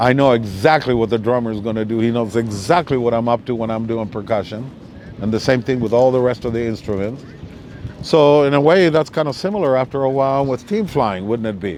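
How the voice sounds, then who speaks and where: A man speaks at a fairly quick pace with medium pitch and ordinary pitch variation, over noticeable background noise. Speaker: kite flyer and musician. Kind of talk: live talk with audience questions. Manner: loud.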